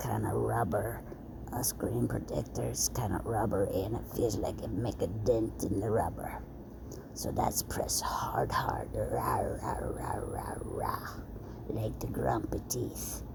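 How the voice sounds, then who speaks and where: Whispering at a very slow pace, a woman is heard with audible room echo and noticeable background noise. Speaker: content creator. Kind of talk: casual chat. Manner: soft-spoken.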